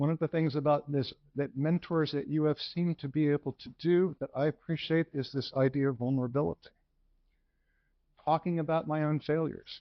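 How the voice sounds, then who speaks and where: At a fairly quick pace, a man with an unremarkable speaking voice talks at a fairly high pitch with fairly even intonation. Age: 60s. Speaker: physician, lecturer. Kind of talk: lecture.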